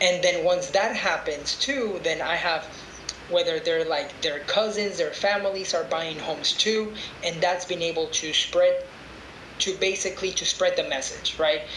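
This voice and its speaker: A man's high voice at a moderate pace, with ordinary pitch variation, audible room echo and noticeable background noise. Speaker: real estate investor and agent. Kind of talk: podcast interview.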